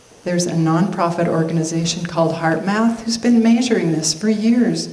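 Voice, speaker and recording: Through audible room echo and noticeable background noise, a woman speaks with lively intonation. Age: 60s. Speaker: motivational speaker, cancer survivor. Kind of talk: inspirational talk.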